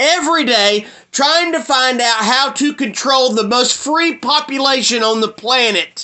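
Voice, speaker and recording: A man with a Southern US accent speaks at an extremely high pitch. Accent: Southern American. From US South. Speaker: video blogger. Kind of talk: monologue rant. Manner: animated.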